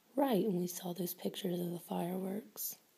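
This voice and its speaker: A soft-spoken, gentle tone at a moderate pace. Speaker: teacher or tutor. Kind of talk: tutoring session questions to a child. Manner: soft-spoken, gentle teacher voice. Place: home room. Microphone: phone near.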